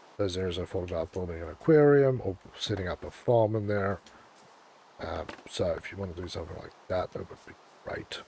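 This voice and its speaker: Noticeable background noise accompanies speech with big swings in loudness, long, frequent pauses and ordinary pitch variation. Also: man, very deep, low pitch for a man, moderate pace. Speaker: gaming streamer. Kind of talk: live gameplay stream chat. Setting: livestream. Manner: casual, hesitant with fillers.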